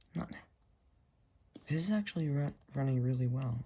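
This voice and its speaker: Her voice is very deep and low for a woman, somewhat breathy, dark and mellow in tone, moving at a fairly quick pace. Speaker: tech YouTuber. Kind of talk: casual vlog narration. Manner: casual, halting.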